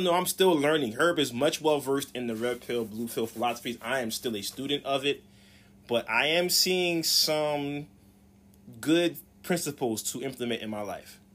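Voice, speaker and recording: A man with a plain, everyday voice, fairly high in pitch, with an American accent, on a very clean recording with a silent background. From US South. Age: 40s. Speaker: podcast co-host. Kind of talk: casual chat.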